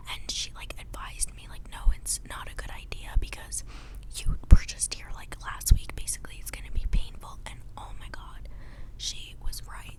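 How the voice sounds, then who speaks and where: A woman whispers at a moderate pace, with big swings in loudness. Noticeable background noise is present. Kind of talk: whisper ramble storytime, casual talk to camera. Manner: whispered, chatty.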